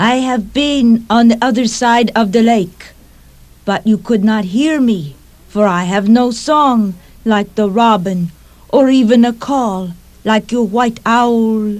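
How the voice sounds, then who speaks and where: A put-on character voice sits at a fairly high pitch. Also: fairly slow pace. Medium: read story.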